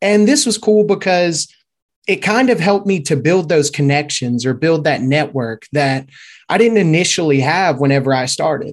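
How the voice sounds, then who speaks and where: A man with a Louisiana accent speaks at a fairly high pitch and a moderate pace, with lively intonation. His loudness stays very even over a quiet background. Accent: Southern US (Louisiana). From Shreveport, Louisiana. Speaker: SEO and YouTube expert, team member. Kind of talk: casual interview chat.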